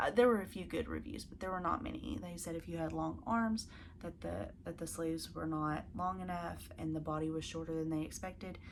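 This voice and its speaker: A woman speaks with a Southern US accent, and the room echo is audible. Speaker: crafting video host. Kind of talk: casual chat to camera. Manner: casual, with fillers.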